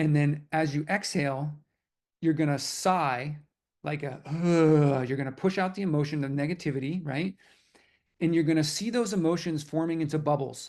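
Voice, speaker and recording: Against a quiet background, a man with an American accent speaks in an unremarkable speaking voice at a moderate pace with fairly even intonation. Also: fairly high pitch for a man. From New York. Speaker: manifestation and personal development teacher. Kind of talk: guided meditation; online class.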